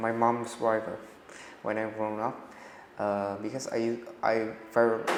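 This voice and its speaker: At a fairly slow pace, a man with a medium pitch speaks amid noticeable background noise and audible room echo. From Vietnam. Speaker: language student. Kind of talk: speaking exam. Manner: halting.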